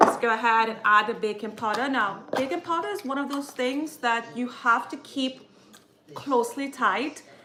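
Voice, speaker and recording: Amid noticeable background noise, a woman talks at a high pitch with ordinary pitch variation. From Caribbean. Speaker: cooking vlogger. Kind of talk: live cooking tutorial. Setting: home kitchen livestream. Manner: chatty, self-correcting.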